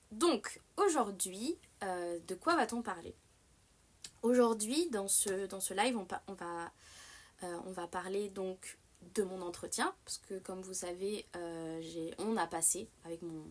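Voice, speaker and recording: Very slow speech from a woman at medium pitch, with ordinary pitch variation and big swings in loudness. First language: Japanese (native bilingual with French) (speaking French). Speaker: streamer. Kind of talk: casual live-stream chat. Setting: live stream. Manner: hesitant, many fillers; animated.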